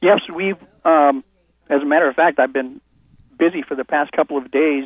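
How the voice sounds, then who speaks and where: Fairly even intonation and a moderate pace from a man with a fairly high pitch. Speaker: programmer caller. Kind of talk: casual chat. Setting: phone call.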